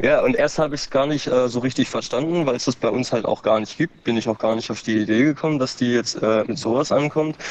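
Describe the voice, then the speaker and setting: This man's voice sits at a medium pitch. He talks very fast with hardly any pauses. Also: ordinary pitch variation. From Baden-Württemberg, Germany. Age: 30s. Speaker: former meth user. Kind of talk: testimony. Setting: outdoors.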